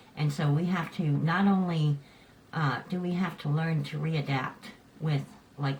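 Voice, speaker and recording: A woman's very deep, low voice at a fairly slow pace, with fairly even intonation and noticeable background noise. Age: 50s. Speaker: vlogger with cleft lip and palate. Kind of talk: casual talk to camera.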